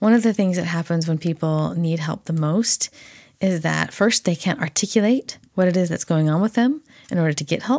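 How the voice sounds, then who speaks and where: With an unremarkable speaking voice, a woman talks at a moderate pace and a fairly low pitch with ordinary pitch variation, in a dry, close sound with no echo. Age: 40s. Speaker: podcast host and therapy graduate student. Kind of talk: solo podcast monologue.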